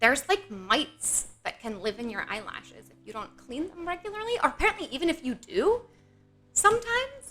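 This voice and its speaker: A woman projects a raised voice at an extremely high pitch and fairly quick pace, with a bright, sharp tone. Her pitch swings very widely and her loudness shifts in big swings. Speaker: streamer. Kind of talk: casual chat. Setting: live stream.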